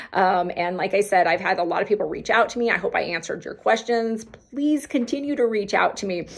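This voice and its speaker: A woman talks at a fairly quick pace with a fairly high pitch, an animated tone and lively intonation. Noticeable background noise is present. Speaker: health vlogger. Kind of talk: casual vlog talk to viewers. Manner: fast.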